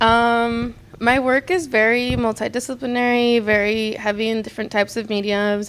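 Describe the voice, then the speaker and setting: Speaking with a Spanish accent, a woman uses a fairly high pitch and fairly even intonation. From US, San Diego area (born in Mexicali, Mexico). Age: 20s. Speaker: art student. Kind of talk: interview. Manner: hesitant, many fillers.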